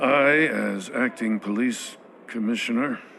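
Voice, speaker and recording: A raspy, put-on character voice moves at a fairly slow pace with fairly even intonation over clear background noise. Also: man, medium pitch for a man. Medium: video game.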